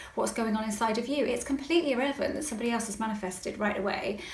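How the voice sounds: Her voice is a woman's, fairly high in pitch with a West Country accent. Pitch varies in an ordinary way, and room echo is audible.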